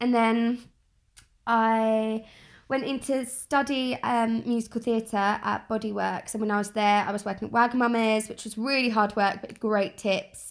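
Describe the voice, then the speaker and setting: A woman with a London accent, fairly high in pitch, with monotone, flat intonation at a moderate pace, on a very clean recording with a silent background. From South East London. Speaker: media professional. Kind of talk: casual chat.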